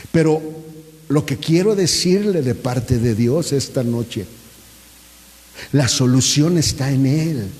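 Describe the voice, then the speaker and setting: A man's fairly high, somewhat breathy voice with lively intonation at a very slow pace, long, frequent pauses and audible room echo. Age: 60s. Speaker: pastor. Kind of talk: sermon.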